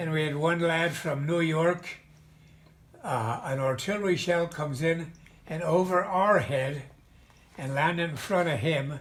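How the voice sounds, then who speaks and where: Audible room echo surrounds a man with an American accent and a fairly high voice. He speaks at a fairly slow pace with ordinary pitch variation and long, frequent pauses. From Pennsylvania, Mahanoy City area. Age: 90s. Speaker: war veteran. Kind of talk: oral history interview. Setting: video call. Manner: halting.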